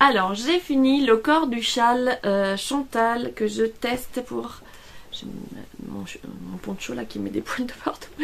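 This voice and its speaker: With a slight Italian accent, a woman speaks at a very slow pace, her loudness swinging widely. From Italy. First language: Italian (speaking French). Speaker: knitting vlogger. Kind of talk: casual vlog. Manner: hesitant, many fillers.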